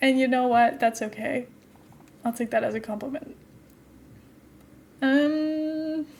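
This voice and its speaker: Speaking at a fairly slow pace with long, frequent pauses, a woman with a high pitch keeps her intonation fairly even. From Netherlands. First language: Dutch. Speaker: streamer. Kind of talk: casual gameplay live stream chat. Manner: chatty, rambling with fillers.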